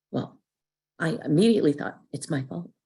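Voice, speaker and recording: Speaking at a moderate pace, a woman with a very deep, low pitch and a dark, mellow tone shows vocal fry and very wide pitch swings. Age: 60s. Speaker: twelve-step meeting speaker. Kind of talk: testimony.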